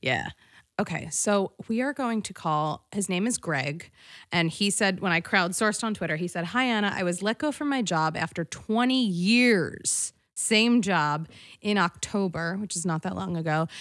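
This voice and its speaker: The recording is very clean, with a silent background. A woman speaks at a medium pitch and moderate pace, her intonation lively. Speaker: podcast host. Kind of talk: casual chat. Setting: studio. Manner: animated.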